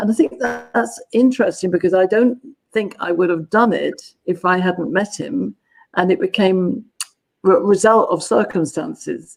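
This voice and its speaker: A woman with a southern English accent, at a moderate pace. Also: medium pitch for a woman, lively intonation. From southern England, London. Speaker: gender dynamics consultant. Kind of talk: interview.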